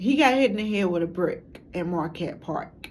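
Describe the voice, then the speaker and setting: Speaking at a fairly slow pace with an American accent, a woman of medium pitch shows ordinary pitch variation, and audible room echo surrounds her voice. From Chicago. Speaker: documentary maker, substitute teacher. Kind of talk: documentary monologue. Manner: halting, many fillers.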